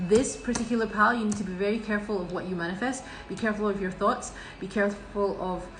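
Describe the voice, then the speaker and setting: A woman talks at a very fast pace with fairly even intonation. Audible room echo and noticeable background noise surround her. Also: medium pitch for a woman. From Scotland. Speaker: tarot reader. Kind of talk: tarot reading monologue. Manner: halting, many fillers and restarts.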